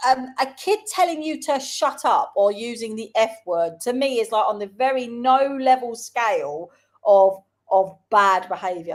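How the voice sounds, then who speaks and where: Over a silent background in a very clean recording, a woman with a London accent speaks at a fairly slow pace, her high pitch moving in lively intonation with an animated tone. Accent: London accent, Cockney roots. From South London, England. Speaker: schoolteacher and show co-host. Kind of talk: casual chat.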